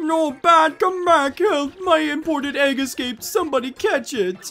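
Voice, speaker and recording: The voice is a put-on character. Its pitch is high. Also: moderate pace. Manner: panicked, shouting.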